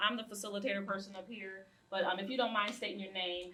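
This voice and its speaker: Against noticeable background noise, a woman with medium pitch and ordinary pitch variation talks at a very fast pace. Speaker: community group chair and facilitator. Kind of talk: panel discussion facilitation.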